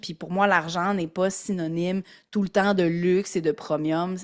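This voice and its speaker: In a Quebec accent, a woman speaks at a fairly slow pace and a medium pitch. The recording is very clean, its background silent. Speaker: entrepreneur. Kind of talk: casual chat. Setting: podcast interview.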